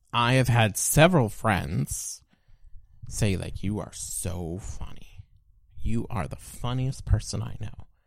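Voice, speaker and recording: At a fairly slow pace, a man talks with vocal fry, very wide pitch swings and big swings in loudness. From Canada, Alberta and Nova Scotia. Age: 20s. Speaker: podcast guest. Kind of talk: casual chat.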